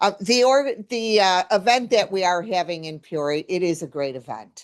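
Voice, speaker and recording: Her intonation is lively as she talks. The woman keeps a moderate pace over a quiet background. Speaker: recycling account manager. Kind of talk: informal presentation. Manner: loud.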